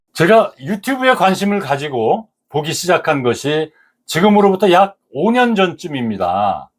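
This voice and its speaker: A man with a high pitch speaks at a fairly slow pace. His pitch swings very widely. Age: 70s. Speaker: senior lifestyle YouTuber. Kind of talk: reflective monologue to camera. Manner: calm, relaxed.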